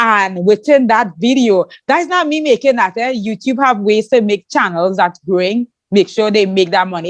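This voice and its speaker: Speaking at a fairly quick pace, a woman of medium pitch sounds animated, with ordinary pitch variation, in a dry, close recording with no echo and a quiet background. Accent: Trinidadian. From Trinidad. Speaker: podcast host and YouTuber. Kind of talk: interview chat.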